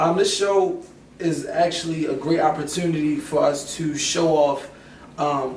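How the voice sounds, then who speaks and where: A man speaks with monotone, flat intonation. Noticeable background noise and audible room echo come through. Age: 20s. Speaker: musician and songwriter. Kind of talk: interview.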